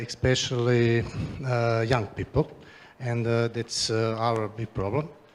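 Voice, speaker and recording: A man with a Croatian accent speaks at a moderate pace in a medium-pitched voice, his intonation flat and monotone. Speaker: regional politician. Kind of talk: conference presentation. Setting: stage with audience. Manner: halting, many fillers.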